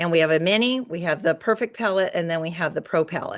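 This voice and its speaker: What we hear is an ordinary speaking voice. The pitch shifts about as much as usual. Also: woman, quiet background. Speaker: beauty sales director. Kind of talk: product presentation.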